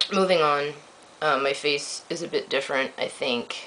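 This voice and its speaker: Background noise can clearly be heard. Beneath it, a man talks fairly slowly. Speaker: vlogger. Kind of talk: video diary. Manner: hesitant, many ums.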